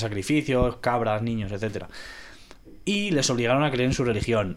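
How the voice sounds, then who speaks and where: Here a man talks at a moderate pace, medium in pitch, with ordinary pitch variation. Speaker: podcast guest. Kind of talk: casual chat.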